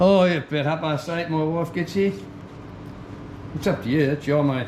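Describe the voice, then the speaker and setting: Noticeable background noise sits behind a man's fairly high voice. He speaks at a moderate pace with fairly even intonation. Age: 70s. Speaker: motorbike collector. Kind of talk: casual chat.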